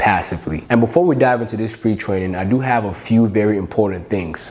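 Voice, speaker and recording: A fairly quick pace of talk, noticeable background noise behind it. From Cameroon until age 11, then United States. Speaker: online business coach. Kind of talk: sales pitch.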